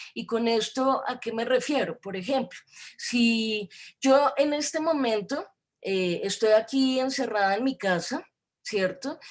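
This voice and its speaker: In a Bogotá accent, a woman with a high-pitched voice talks at a very slow pace, with ordinary pitch variation. The recording is very clean, with a silent background. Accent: Bogotá Colombian Spanish. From Colombia, Bogotá. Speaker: academic lecturer on gender studies. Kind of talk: lecture. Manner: hesitant, many fillers.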